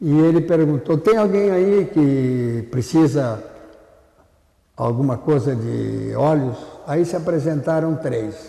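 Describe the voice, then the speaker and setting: Very slow in pace, a man speaks with lively intonation at a fairly high pitch. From southern Brazil, Porto Alegre. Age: 90s. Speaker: retired ophthalmologist. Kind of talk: oral history interview.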